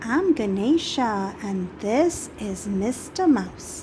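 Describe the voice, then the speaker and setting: A woman's put-on character voice at a fairly high pitch, very slow in pace, over clear background noise. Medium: read story.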